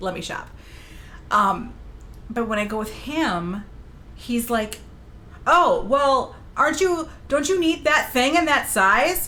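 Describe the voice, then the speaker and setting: With audible room echo, a woman in a bright, sharp, animated tone makes very wide pitch swings. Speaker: streamer. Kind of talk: casual chat.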